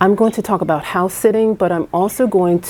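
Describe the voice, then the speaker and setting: A woman speaks with fairly even intonation. There is noticeable noise in the background. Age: 50s. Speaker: travel vlogger. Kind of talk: casual vlog monologue. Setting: indoors on a rainy evening. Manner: hesitant with many fillers.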